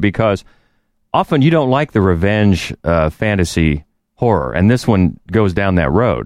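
Lively intonation marks this man's fairly quick speech, recorded with a dry, close sound and no echo. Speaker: podcast co-host. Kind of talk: casual chat.

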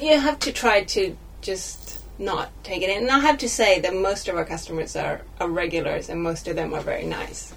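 With noticeable background noise behind her, a woman talks at a moderate pace with hardly any pauses. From Sweden. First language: Swedish. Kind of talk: casual chat. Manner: halting.

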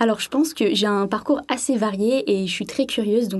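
A woman talks at a fairly quick pace with a fairly high pitch. Hers is an unremarkable speaking voice, with ordinary pitch variation. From southern France, Sainte-Maxime. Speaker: French language teaching assistant. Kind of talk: radio interview.

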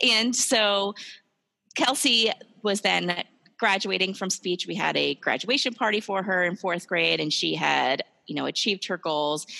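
A woman at medium pitch with an American accent, vocal fry, a bright, sharp tone, ordinary pitch variation and a fairly slow pace, in a very clean, dry, close recording with a silent background and no echo. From New Jersey. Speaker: speech-language pathologist. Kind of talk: casual interview.

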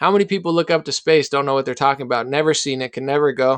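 With a dry, close sound and no echo, a man with an American accent speaks at a fairly high pitch with fairly even intonation. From New Jersey. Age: 30s. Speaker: rapper. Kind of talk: casual chat.

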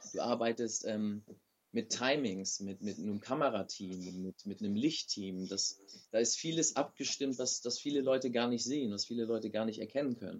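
A man with a normal speaking voice talks at a medium pitch and a moderate pace, with ordinary pitch variation. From Germany. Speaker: professional wrestler. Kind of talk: interview.

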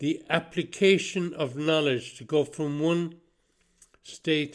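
A man with an Irish accent. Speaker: podcast host. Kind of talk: solo spoken monologue. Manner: halting.

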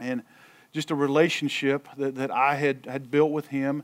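At a moderate pace, a man speaks in a fairly high pitch. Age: 50s. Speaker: football coach and youth mentor. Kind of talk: talk at a church men's breakfast. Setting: stage with audience. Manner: repeats words often.

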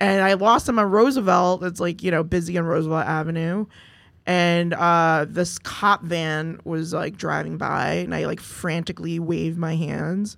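Using a normal speaking voice, a woman talks at a moderate pace with a fairly low pitch and fairly even intonation in a very clean recording with a silent background. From US Northeast, Mount Vernon, New York. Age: 40s. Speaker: firefighter and community organizer. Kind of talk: casual interview chat. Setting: studio.

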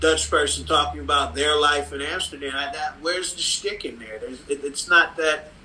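Background noise is noticeable. Over it, a man with an American accent speaks at a moderate pace. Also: big swings in loudness. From Cleveland, Ohio (Cleveland Heights). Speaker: comics artist. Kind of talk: casual interview. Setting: video call.

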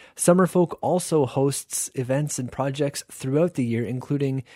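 A man speaks in a warm, upbeat tone with ordinary pitch variation. The recording is very clean with a silent background, and the sound is dry and close with no echo. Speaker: radio host. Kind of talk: radio show hosting, scripted-style intros and announcements. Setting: radio studio broadcast. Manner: warm, conversational, clear and upbeat.

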